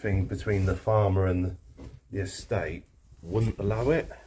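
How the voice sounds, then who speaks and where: A man talks at a fairly slow pace in a somewhat breathy voice. Noticeable background noise sits behind him. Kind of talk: casual vlog chat. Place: home room. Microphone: phone near.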